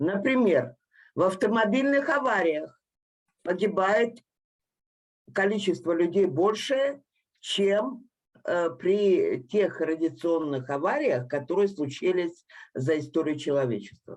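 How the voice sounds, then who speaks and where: At a fairly slow pace with long, frequent pauses, a woman of medium pitch makes very wide pitch swings while her loudness stays very even. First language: Russian. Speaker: engineer, panel participant. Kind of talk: panel discussion.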